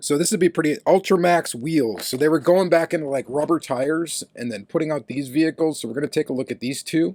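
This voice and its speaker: Talking at a very fast pace with hardly any pauses, a man with a fairly high pitch and ordinary pitch variation sounds dry and close, with no echo. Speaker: diecast collector YouTuber. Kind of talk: casual haul review. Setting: basement with dehumidifier. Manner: casual, conversational.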